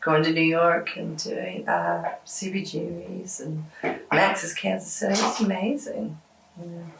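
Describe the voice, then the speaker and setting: A woman with a Southern US accent talks at a fairly slow pace, her loudness swinging widely, over noticeable background noise. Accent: Southern American. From Georgia, USA. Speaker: rock musician. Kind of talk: interview answer. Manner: casual, hesitant.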